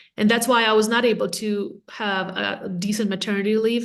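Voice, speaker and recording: A woman speaks at a fairly high pitch in a monotone, flat intonation. Audible room echo surrounds her voice. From Latvia. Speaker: real estate agent and team leader. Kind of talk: podcast interview.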